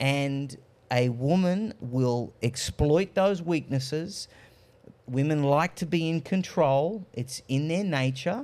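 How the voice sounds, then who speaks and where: A man with an Australian accent, fairly high in pitch, at a very slow pace with ordinary pitch variation. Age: 30s. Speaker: political commentator. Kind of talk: panel discussion.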